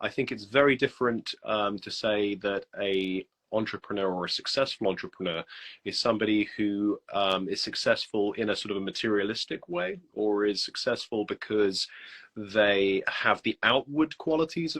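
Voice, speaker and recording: In a quiet background with a dry, close sound and no echo, a man speaks in a medium pitch with a British accent. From UK. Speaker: copywriter. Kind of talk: casual interview. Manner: hesitant, many fillers.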